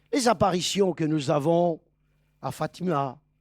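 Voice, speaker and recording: Someone speaks at a very slow pace on a very clean recording with a silent background. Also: man. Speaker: preacher. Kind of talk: sermon. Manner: deliberately slowed and articulated.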